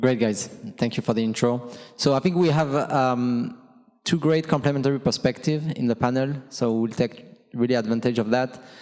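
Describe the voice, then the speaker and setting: The speaker's loudness stays very even, with a French accent and fairly even intonation. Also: man, medium pitch for a man, moderate pace. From France. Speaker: panel moderator, logistics executive. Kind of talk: conference panel discussion. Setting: conference stage with audience.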